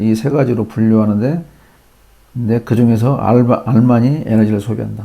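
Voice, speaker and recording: Speaking at a moderate pace, a man with a dark, mellow tone keeps a medium pitch and fairly even intonation. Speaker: electrical engineering educator. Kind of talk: lecture.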